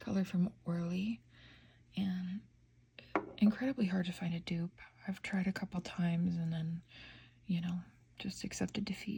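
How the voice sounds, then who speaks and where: Long, frequent pauses break up a woman's medium-pitched speech, which keeps a fairly even intonation. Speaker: nail polish reviewer. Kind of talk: casual ASMR talk to camera. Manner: soft-spoken, slow.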